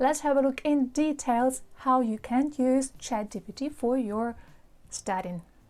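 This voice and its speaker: Over a silent background in a very clean recording, a woman speaks at a fairly slow pace with ordinary pitch variation. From Ukraine. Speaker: English teacher. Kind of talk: tutorial. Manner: casual.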